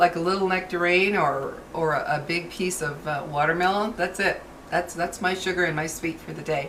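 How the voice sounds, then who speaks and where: A woman talks at a moderate pace in a fairly low pitch, with fairly even intonation and hardly any pauses. Noticeable background noise is present. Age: 60s. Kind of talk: casual talk to camera.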